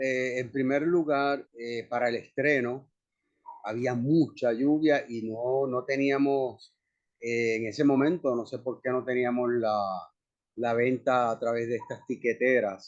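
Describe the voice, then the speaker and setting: A man with a Puerto Rican accent speaks at a medium pitch. His pace is very slow. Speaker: actor. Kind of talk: interview conversation. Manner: monotone.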